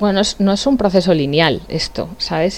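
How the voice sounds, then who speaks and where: Her pitch varies in an ordinary way. There is noticeable background noise behind this woman. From Spain, La Sagra, Toledo. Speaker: youth association founder. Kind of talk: interview.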